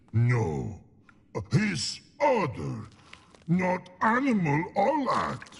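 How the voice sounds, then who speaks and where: In a put-on character voice, a man speaks at a high pitch and a very slow pace, with long, frequent pauses. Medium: video game. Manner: broken grammar, halting, slow.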